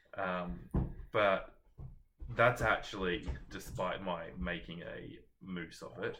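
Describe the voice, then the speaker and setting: In an Australian accent, a man with a very deep, low pitch and a bright, sharp tone speaks with vocal fry and ordinary pitch variation. He goes at a very slow pace, with long, frequent pauses and audible room echo. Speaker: book vlogger. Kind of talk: casual chat.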